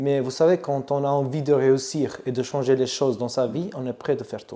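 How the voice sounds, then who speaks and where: A man speaks with an Albanian accent. His tone is dark and mellow. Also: medium pitch for a man, moderate pace. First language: Albanian (speaking French). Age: 30s. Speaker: barbershop owner. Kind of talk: interview. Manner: halting.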